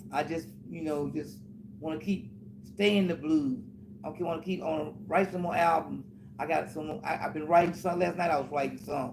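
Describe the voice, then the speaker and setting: A man's fairly high voice with vocal fry, ordinary pitch variation and a moderate pace. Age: 70s. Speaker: blues musician. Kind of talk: casual chat. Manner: halting.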